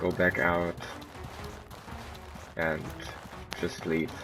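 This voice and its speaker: A man's very deep, low voice at a very slow pace, with noticeable background noise. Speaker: gamer. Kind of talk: game walkthrough commentary. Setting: low-quality home microphone. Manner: casual.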